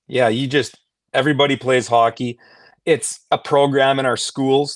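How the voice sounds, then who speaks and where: Against a quiet background, a man speaks in a monotone, flat voice with a dry, close sound and no echo. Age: 40s.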